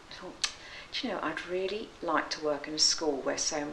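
A woman speaks at a very deep, low pitch and a moderate pace with fairly even intonation. Audible room echo and light background noise are present. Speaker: school teacher. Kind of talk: interview answer. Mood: earnest, reflective. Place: office.

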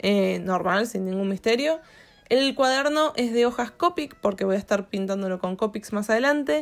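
In a very clean recording with a silent background, a woman speaks with lively intonation at a fairly high pitch. It is an ordinary speaking voice at a moderate pace. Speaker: YouTuber and art teacher. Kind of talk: casual vlog narration while drawing.

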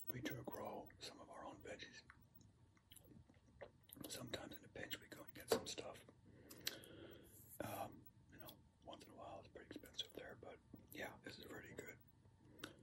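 A man whispering, with long, frequent pauses. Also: moderate pace. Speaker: ASMR creator. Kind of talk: ASMR eating video, whispered talk. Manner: whispered. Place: home room. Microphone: phone near.

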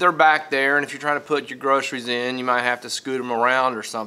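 The pace is fairly quick. The tone comes across bright and sharp. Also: man. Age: 50s. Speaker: video blogger. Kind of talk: casual monologue to camera. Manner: halting, repeats words. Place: classroom. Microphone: phone near.

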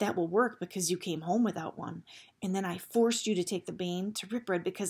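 Here the reading aloud is in a natural voice, with ordinary pitch variation.

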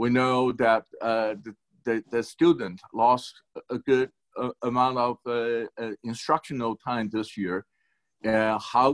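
A man speaks at a fairly slow pace with fairly even intonation. The background is quiet. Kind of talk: town hall remarks. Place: home room. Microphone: video call.

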